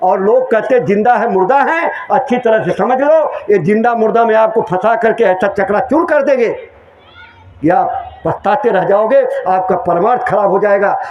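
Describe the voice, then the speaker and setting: Noticeable background noise and audible room echo fill the recording. A man speaks loudly at a high pitch, with ordinary pitch variation. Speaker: spiritual preacher. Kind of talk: sermon.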